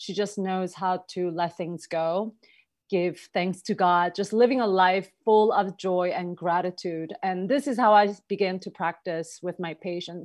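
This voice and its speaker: A woman speaks with a Korean accent against a quiet background. Her medium pitch and fairly even intonation move at a fairly slow pace. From South Korea. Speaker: holistic health practitioner. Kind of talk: interview.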